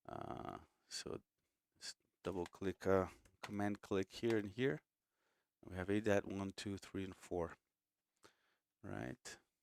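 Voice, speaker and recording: With long, frequent pauses, a man with a Portuguese accent speaks very slowly at a fairly low pitch with ordinary pitch variation, the sound dry and close with no echo. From Brazil. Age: 40s. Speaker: music composer and producer. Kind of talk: live stream tutorial. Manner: casual, chatty.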